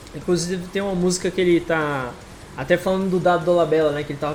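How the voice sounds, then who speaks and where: Amid noticeable background noise, a man talks at a very fast pace and high pitch with ordinary pitch variation. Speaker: podcast host and moderator. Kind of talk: casual chat.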